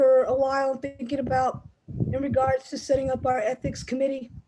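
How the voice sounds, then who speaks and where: A loud woman's voice, high in pitch with a dark, mellow tone, at a moderate pace. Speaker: chapter president of a basketball officials association. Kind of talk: online meeting address.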